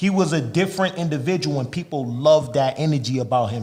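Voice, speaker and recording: A man with an American accent, fairly high-pitched for a man, ordinary pitch variation, an ordinary speaking voice. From Massachusetts, Lawrence. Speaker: rapper. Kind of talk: casual interview chat. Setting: studio.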